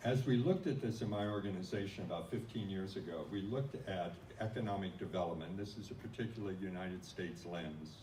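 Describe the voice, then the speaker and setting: In a Midwestern US accent, a man talks at a moderate pace and a fairly low pitch with ordinary pitch variation, with audible room echo. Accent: plain US Midwestern. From US Midwest. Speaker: non-profit organization leader. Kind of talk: conference talk.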